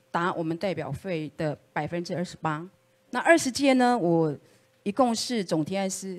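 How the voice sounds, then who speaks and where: An unremarkable speaking voice, a woman at a moderate pace with a fairly low pitch. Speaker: political candidate; candidate. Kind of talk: campaign speech. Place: meeting room.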